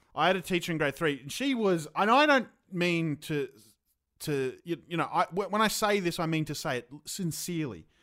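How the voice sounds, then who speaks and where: Speaking with an Australian accent at a moderate pace, a man with a high pitch and bright, sharp tone uses lively intonation. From Queensland, Australia. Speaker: comedian. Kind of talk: casual chat. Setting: video call.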